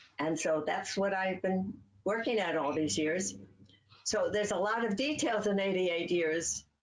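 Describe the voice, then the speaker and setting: Amid noticeable background noise and audible room echo, a woman with an American accent talks at a moderate pace in very even loudness. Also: medium pitch for a woman, ordinary pitch variation. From US Midwest, Cleveland, Ohio. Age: 80s+. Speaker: author. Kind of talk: interview.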